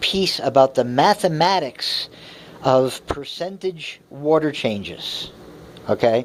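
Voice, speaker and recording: Over noticeable background noise, a man speaks very slowly in a fairly high pitch. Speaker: aquarium hobbyist vlogger. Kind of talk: casual explanatory rant. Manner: hesitant, many fillers.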